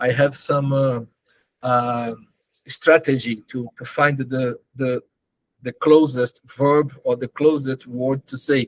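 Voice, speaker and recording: A man with a Brazilian Portuguese accent speaks very slowly at a medium pitch. His intonation is monotone and flat, and the sound is dry and close with no echo. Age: 50s. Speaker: charity organization leader. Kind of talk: interview. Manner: halting, searching for words.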